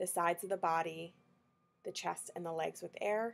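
A woman speaks at a moderate pace. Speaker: energy clearing facilitator. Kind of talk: guided meditation. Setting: video recording. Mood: calm soothing guidance. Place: home room. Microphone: webcam.

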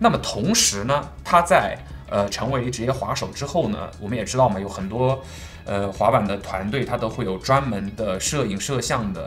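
With faint music in the background, a man talks at a moderate pace. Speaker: product reviewer. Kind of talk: product unboxing review. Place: studio.

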